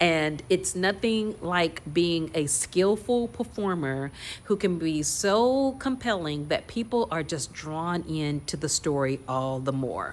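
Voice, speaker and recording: A woman's fairly low voice at a very slow pace, with very wide pitch swings and hardly any pauses. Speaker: acting coach. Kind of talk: tutorial.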